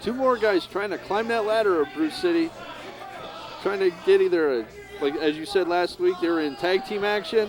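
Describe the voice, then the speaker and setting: Crowd noise fills the background as a man speaks at a moderate pace. His high-pitched voice makes very wide pitch swings. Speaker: wrestling color commentator. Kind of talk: live sports commentary.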